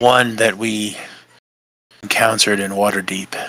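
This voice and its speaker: A man uses a put-on character voice that is raspy and fairly low-pitched, with a monotone, flat delivery. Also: moderate pace. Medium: actual play. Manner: musing, deliberate.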